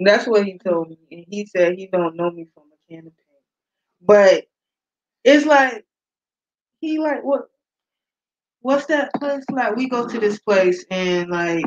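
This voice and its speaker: A woman speaks at a medium pitch and a fairly slow pace, with long, frequent pauses. Her loudness swings widely, and the sound is dry and close with no echo. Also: lively intonation. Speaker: YouTube live streamer. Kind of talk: casual chat. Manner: soft-spoken.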